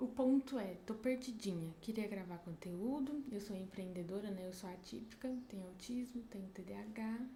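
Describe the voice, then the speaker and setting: Soft-spoken, a woman talks at a fairly high pitch with ordinary pitch variation. Audible room echo and noticeable background noise surround her. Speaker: entrepreneur vlogger. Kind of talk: casual vlog monologue. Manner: soft-spoken, quiet. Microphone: mic at maximum, speaking quietly.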